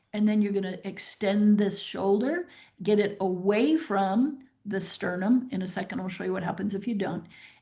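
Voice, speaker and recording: The speaker has an ordinary speaking voice, a moderate pace and ordinary pitch variation. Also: woman, medium pitch for a woman. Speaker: veterinary specialist. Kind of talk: webinar lecture. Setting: online webinar.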